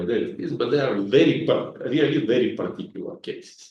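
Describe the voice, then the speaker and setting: A man with a Bulgarian accent and vocal fry, at a moderate pace. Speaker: mathematics professor. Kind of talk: lecture. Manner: hesitant with frequent fillers.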